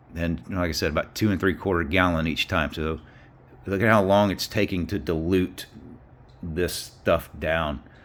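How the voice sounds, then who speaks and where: A man speaks in a Southern US accent at a moderate pace. His voice has vocal fry. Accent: Southern US accent, self-noted. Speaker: car mechanic video maker. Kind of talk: hands-on tutorial. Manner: casual, halting with fillers.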